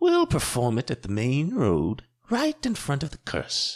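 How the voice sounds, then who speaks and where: A man's put-on character voice, fairly high in pitch, at a moderate pace against a quiet background. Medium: read story. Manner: cool, unyielding.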